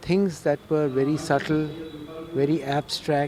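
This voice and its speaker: This is a man's voice. His pitch sits fairly high. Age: 70s. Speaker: retired professor and cyclist. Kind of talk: interview.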